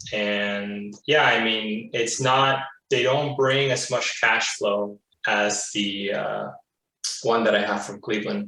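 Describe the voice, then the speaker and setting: Speaking very slowly, a man uses a medium pitch and fairly even intonation. Audible room echo surrounds his voice. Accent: Spanish. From Florida, US. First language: Spanish. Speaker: real estate investor, client. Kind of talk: interview.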